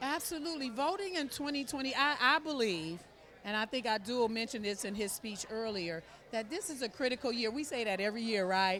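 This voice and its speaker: A woman with an American accent, a normal speaking voice, fairly high pitch, lively intonation and a fairly quick pace. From United States. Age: 60s. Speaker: political supporter. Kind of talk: interview. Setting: fundraising reception.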